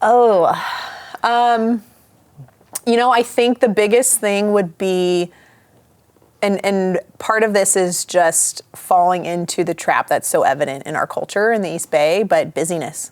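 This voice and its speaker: At a fairly slow pace, a woman with a Midwestern accent speaks at a medium pitch with ordinary pitch variation. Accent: Midwest. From US Midwest. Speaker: pastor. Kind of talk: casual chat.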